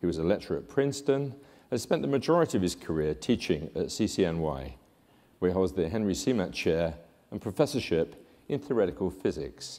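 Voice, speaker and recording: A man with a British accent and a very deep, low pitch speaks in a dark, mellow tone at a fairly quick pace, with very wide pitch swings, on a very clean recording with a silent background. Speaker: conference presenter introducing speaker. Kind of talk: speaker introduction.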